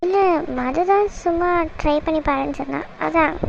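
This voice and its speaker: A cartoonish character voice talks at a fairly slow pace over clear background noise. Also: woman, extremely high pitch for a woman. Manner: curt, snappish.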